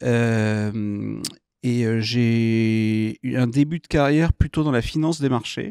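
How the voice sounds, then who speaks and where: Recorded dry with no echo against a quiet background, a man speaks at a medium pitch with ordinary pitch variation. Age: 50s. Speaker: entrepreneur; guest. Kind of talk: interview. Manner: hesitant, many fillers. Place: studio. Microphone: studio mic.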